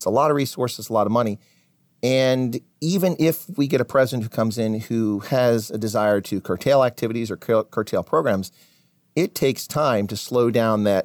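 A man speaks in a plain, everyday voice with an American accent, at medium pitch with ordinary pitch variation and a moderate pace. The recording is very clean and dry, close with no echo, over a silent background. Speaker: military officer and professor. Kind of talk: interview.

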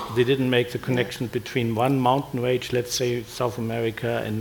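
A man with a German accent speaks in a monotone, flat intonation over noticeable background noise. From Germany. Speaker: retired physics professor. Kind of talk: panel discussion.

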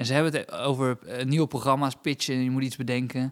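In a very clean recording with a silent background, a man with a plain, everyday voice talks at a fairly quick pace and medium pitch, the sound dry and close with no echo. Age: 30s. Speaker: comedian and podcast co-host. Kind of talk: casual chat.

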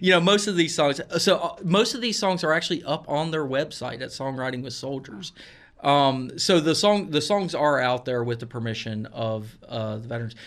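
Speaking at a moderate pace with lively intonation, a man uses a normal speaking voice at a fairly high pitch. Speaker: music journalist. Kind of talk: radio interview. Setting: studio.

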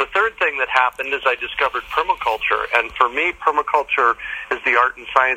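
A man at a fairly quick pace, dry and close with no echo, over noticeable background noise. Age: 60s. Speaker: permaculture teacher and urban farmer. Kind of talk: interview. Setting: outdoors in a backyard.

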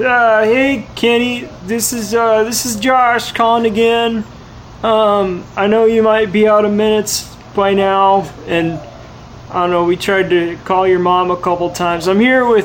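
A man puts on a character voice with high pitch, mumbling at a fairly slow pace. Clear background noise runs underneath. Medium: game stream. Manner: mumbling, slack, says 'man' constantly.

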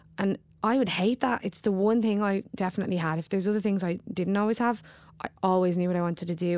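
A woman with a Dublin accent talks at a very fast pace. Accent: Dublin Irish. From Dublin, Ireland. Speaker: actor and poet. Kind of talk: casual interview chat. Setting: theatre, between performances. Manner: animated, wired.

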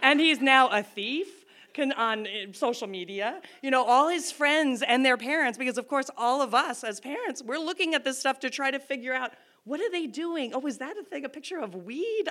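In a very clean recording with a silent background, a woman uses a raised, projected voice with a bright, sharp tone, high pitch, lively intonation and a moderate pace. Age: 40s. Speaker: storyteller. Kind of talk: live storytelling. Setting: stage with audience.

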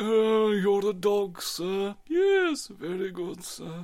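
At a very slow pace, a put-on character voice speaks with a fairly high pitch. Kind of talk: polite, deferential, posh.

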